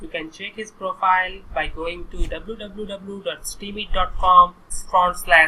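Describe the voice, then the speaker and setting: The speaker talks at a fairly slow pace with an Indian accent. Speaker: online course instructor. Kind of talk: screen-recorded tutorial.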